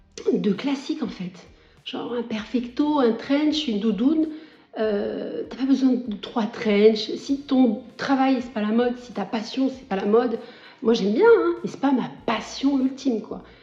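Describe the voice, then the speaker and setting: A woman with a high pitch and ordinary pitch variation talks at a fairly slow pace, noticeable background noise around her. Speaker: lifestyle vlogger. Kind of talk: casual vlog talk to camera. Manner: hesitant, many fillers.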